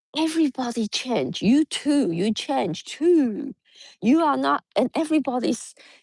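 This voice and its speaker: In a Mandarin accent, a woman speaks fairly slowly in a high voice with lively intonation. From Taiwan. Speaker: yoga teacher. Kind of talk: spiritual talk. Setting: outdoors. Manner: halting.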